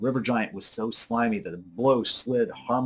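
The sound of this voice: This unforced reading voice carries lively intonation.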